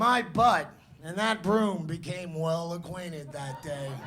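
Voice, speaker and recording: A man's high-pitched voice at a fairly slow pace, ordinary pitch variation, with audible room echo. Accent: New York. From New York City. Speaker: slam poet. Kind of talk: spoken word performance. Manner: animated.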